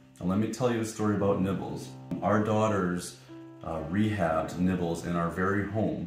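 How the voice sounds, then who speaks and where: Over music in the background, a man with a very deep, low pitch talks at a moderate pace. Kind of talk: fake news infomercial fundraiser, deadpan comedic.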